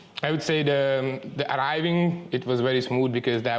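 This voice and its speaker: A man talks at a moderate pace in a medium pitch, with a Hungarian accent. Noticeable background noise runs behind him. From Hungary. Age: 30s. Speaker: muay thai trainee. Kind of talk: interview. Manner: halting.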